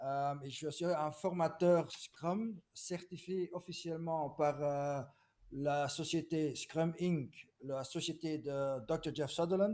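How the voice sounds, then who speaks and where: A man's fairly high voice moves very slowly, his intonation staying fairly even. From Belgium, Flemish. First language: Dutch (speaking French). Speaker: agile consultant. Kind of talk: webinar presentation. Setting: video call webinar.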